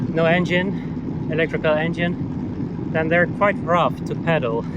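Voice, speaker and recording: Speech at a fairly slow pace is heard with noticeable noise in the background. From Netherlands, Elburg. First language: Dutch. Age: 40s. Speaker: cycling vlogger. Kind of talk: casual vlog narration while cycling. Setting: outdoors on a bicycle. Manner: halting, many fillers.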